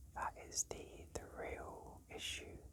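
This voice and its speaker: A man is whispering. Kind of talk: casual talk to camera. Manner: whispered.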